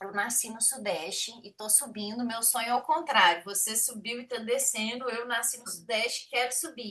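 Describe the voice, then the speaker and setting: Speaking in a Minas Gerais accent with hardly any pauses, a woman with a fairly high pitch and ordinary pitch variation sounds animated, her loudness swinging widely over noticeable background noise. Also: moderate pace. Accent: Brazilian Portuguese, mineiro. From Minas Gerais, Brazil (Belo Horizonte). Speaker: programmer, study group host. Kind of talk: casual chat.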